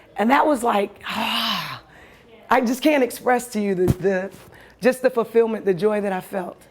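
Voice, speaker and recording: Over noticeable background noise, a woman talks in an animated tone at a moderate pace, her fairly high pitch showing ordinary variation. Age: 40s. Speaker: storyteller. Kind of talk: personal storytelling.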